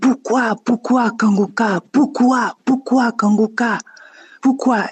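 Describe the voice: A woman puts on a gruff character voice at a fairly high pitch. She talks at a very slow pace.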